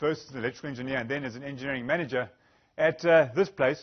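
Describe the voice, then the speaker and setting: A man with a Zimbabwean accent, fairly high in pitch, with ordinary pitch variation. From Zimbabwe, Bulawayo. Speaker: energy specialist, engineer. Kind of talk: conference presentation.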